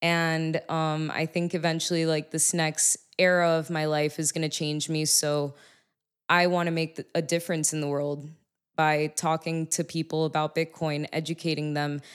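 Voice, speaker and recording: In a very clean recording with a silent background, a woman with a very deep, low pitch speaks at a moderate pace in a monotone, flat intonation. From Miami, Florida. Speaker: music artist and bitcoin advocate. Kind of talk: casual chat. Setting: on location at a venue.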